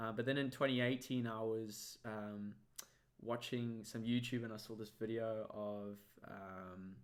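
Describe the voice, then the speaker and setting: The speaker has a South African accent and a fairly slow pace. The intonation is monotone and flat. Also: man, medium pitch for a man. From South Africa, Cape Town. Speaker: magician. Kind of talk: interview.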